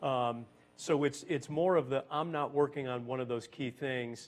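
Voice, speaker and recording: A man with an American accent, a plain, everyday voice, medium pitch, fairly even intonation and a moderate pace. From US Northeast (Boston). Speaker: business executive. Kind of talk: panel talk.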